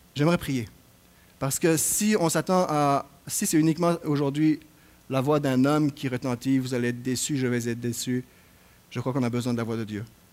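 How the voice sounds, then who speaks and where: A man speaks at a moderate pace with a medium pitch and ordinary pitch variation, leaving long, frequent pauses. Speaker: assistant pastor. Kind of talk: sermon; prayer. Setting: church. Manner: halting with repetitions.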